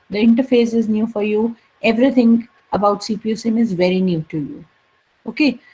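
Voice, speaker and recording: This woman's voice sits fairly high in pitch and is somewhat breathy, with a dark, mellow tone and ordinary pitch variation. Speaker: college lecturer. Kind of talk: lecture. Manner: slow.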